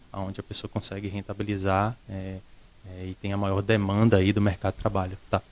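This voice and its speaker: The voice comes in a Pernambuco accent. Its intonation stays monotone and flat. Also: man, fairly low pitch for a man, fairly quick pace, big swings in loudness. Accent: Pernambuco northeastern Brazilian. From Recife, northeast Brazil. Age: young. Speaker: school director. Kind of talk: interview. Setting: studio.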